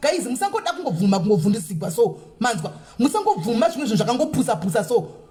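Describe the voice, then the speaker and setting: Amid noticeable background noise, a woman talks at a very fast pace in a high pitch with very wide pitch swings. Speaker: radio host. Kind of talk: phone call. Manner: stern.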